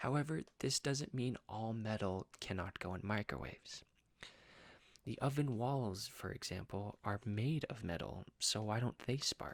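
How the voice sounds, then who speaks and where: A soft-spoken man at a medium pitch and fairly slow pace, with ordinary pitch variation and a dry, close sound with no echo. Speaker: student teacher. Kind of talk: educational talk to camera.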